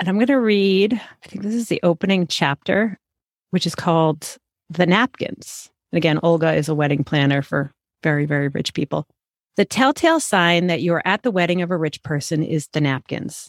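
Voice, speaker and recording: With a dry, close sound and no echo, a woman with an American accent uses an ordinary speaking voice, fairly low in pitch, with lively intonation at a moderate pace. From Massachusetts suburbs. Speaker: podcast co-host. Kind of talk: casual book chat.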